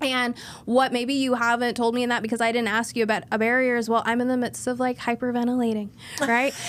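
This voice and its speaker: Talking at a very fast pace, a woman with a high pitch keeps a monotone, flat intonation and very even loudness. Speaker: therapist. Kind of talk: interview conversation. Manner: fast talker.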